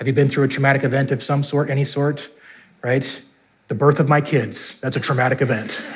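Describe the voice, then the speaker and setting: A man talks at a fairly quick pace, fairly high in pitch and somewhat breathy. His intonation is monotone and flat, with audible room echo around him. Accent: American. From US Upper Midwest, North Dakota. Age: 30s. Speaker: pastor. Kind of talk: sermon.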